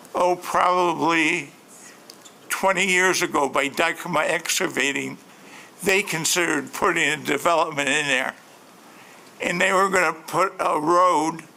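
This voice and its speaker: There is noticeable background noise as a high-pitched man speaks at a fairly slow pace with fairly even intonation. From Grand Rapids, Michigan. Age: 70s. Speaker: local resident at public hearing. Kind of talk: public comment. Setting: city planning commission meeting.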